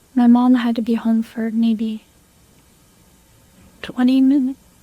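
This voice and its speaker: A woman speaks in a high, monotone voice at a fairly slow pace. Noticeable background noise runs behind her. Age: 20s. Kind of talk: police interview answer. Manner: composed.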